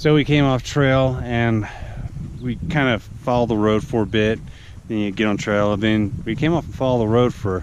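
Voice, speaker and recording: Over noticeable background noise, a man talks at a moderate pace in a medium pitch, with ordinary pitch variation and long, frequent pauses. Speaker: hiking vlogger. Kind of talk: outdoor vlog narration. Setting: outdoors on a mountain trail.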